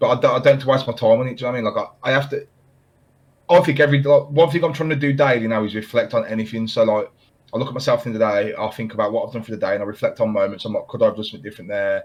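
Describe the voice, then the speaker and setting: Talking very fast, a man speaks in a British accent. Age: 20s. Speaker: podcast host and part-time streamer. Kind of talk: casual chat. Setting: video call.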